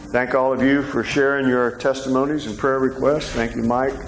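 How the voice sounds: Over clear background noise, a man talks at a moderate pace and medium pitch with little pitch movement.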